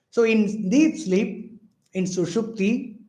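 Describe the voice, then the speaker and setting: A man's high-pitched voice, dark and mellow in tone, at a very slow pace with audible room echo. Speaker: spiritual teacher. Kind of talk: lecture.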